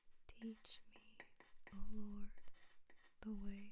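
A soft-spoken voice with a gentle tone moves at a very slow pace. Light background noise sits underneath. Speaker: ASMR channel host. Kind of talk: soft-spoken bible reading for sleep / ASMR. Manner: soft-spoken, slow, gentle.

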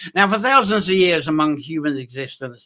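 Lively intonation and a bright, sharp tone come from a man at a moderate pace. The background is quiet. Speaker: presenter. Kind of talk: lecture. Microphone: webcam.

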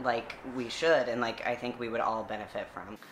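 Over noticeable background noise, the speaker talks at a moderate pace with an American accent. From US South. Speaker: seminary graduate and church activist; interview guest. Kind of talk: interview. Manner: hesitant with frequent fillers. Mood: calm, thoughtful. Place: home room. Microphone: camera far.

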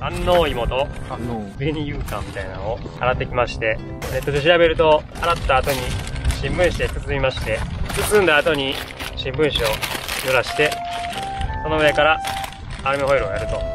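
Over clear music in the background, a man speaks at a moderate pace with long, frequent pauses and a dry sound with no echo. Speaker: vlogger explaining cooking steps. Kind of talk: casual vlog chat. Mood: relaxed, joking. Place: open country. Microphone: camera far.

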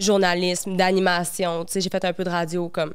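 A woman talks at a moderate speed against a hushed background. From Quebec. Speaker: model and content creator. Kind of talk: casual chat. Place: studio. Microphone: handheld.

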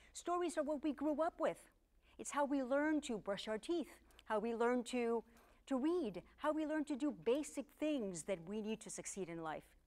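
A woman speaks in a Spanish accent at a moderate pace. Her high pitch swings very widely. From Cuba. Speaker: public speaking coach. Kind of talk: scripted monologue to camera.

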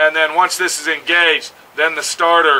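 The speaker is a man with a high pitch. He keeps a moderate pace. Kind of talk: tutorial. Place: open country. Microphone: phone near.

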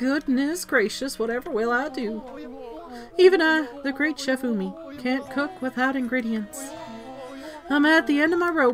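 A put-on character voice, raised and projected, at a moderate pace with long, frequent pauses and clear music in the background. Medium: game stream. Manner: melodramatic, self-pitying, proud.

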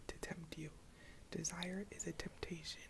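Someone whispers at a fairly slow pace over light background noise. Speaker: ASMR creator. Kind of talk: reading aloud from a book. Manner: whispered. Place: home room. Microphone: earbuds.

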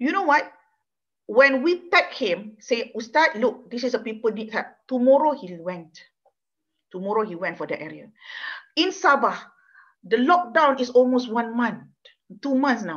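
Delivered at a moderate pace with long, frequent pauses, the speech shows very wide pitch swings and big swings in loudness over a quiet background. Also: woman, high pitch for a woman. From Malaysia. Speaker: law professor. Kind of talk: lecture. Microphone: webcam.

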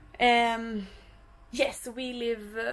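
This is a woman speaking. She has a Swedish accent. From Sweden, Stockholm; Sweden. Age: 20s. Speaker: vlogger and professional dancer; vlogger. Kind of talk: casual vlog. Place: boat.

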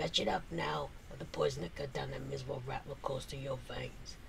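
Over clear background noise, a man rumbles in a put-on character voice at a fairly quick pace. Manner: grumbling, menacing.

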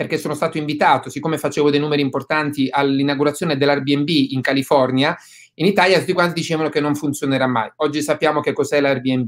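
Against a quiet background, a man with a fairly high pitch talks at a very fast pace with fairly even intonation. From southern Italy. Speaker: real estate investor; guest. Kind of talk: webinar interview. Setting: video call. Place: home room. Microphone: webcam.

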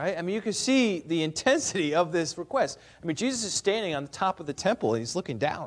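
This is a natural reading voice. Its intonation rises and falls in a lively way.

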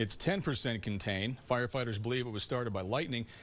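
Very fast talk from a man at a medium pitch, with ordinary pitch variation. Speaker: TV news anchor. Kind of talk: TV news anchor read.

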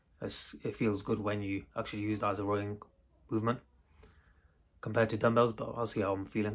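Over a quiet background, a man with a fairly low pitch speaks at a fairly quick pace with monotone, flat intonation. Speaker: home workout vlogger. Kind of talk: casual vlog chat. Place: garage. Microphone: earbuds.

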